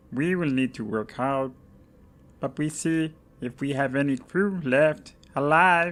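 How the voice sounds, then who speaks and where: In a put-on character voice at a low-to-middle pitch, the speaker goes at a fairly slow pace with long, frequent pauses. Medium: read story. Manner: broken clipped grammar.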